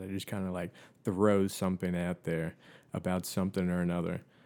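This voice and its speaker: A man speaks at a moderate pace in a very deep, low voice. The recording is very clean, with a silent background. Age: 30s. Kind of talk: casual chat. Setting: podcast recording.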